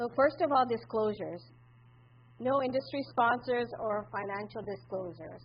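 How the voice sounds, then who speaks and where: A woman talks with vocal fry at a moderate pace. Her intonation is lively. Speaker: acupuncturist. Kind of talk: conference presentation. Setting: conference room with audience. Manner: loud.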